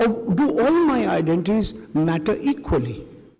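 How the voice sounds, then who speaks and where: A man's pitch swings very widely as he speaks through noticeable background noise and audible room echo. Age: 60s. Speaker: veteran journalist. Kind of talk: panel talk. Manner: animated.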